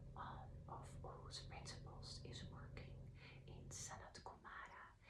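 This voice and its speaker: Very slow whispered speech from a woman. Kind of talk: casual introduction to an ASMR reading. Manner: soft, whispered.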